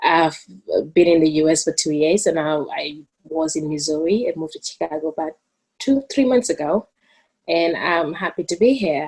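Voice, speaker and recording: A woman with a Gambian accent speaks at a fairly low pitch and a moderate pace. Her intonation is lively, and the background is quiet. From the Gambia. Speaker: student moderator. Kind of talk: formal introduction. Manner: halting.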